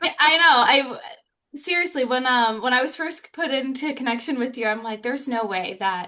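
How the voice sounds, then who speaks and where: A woman's bright, sharp tone carries lively intonation. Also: quiet background. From US, moved among several states from age seven. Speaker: psychologist. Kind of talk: interview.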